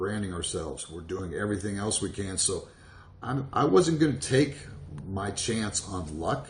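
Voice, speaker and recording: Speaking at a moderate pace, a man with an American accent has a fairly low pitch. His voice is somewhat breathy, with lively intonation. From Virginia. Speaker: network marketer. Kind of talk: motivational talk to camera. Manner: casual, hesitant with fillers.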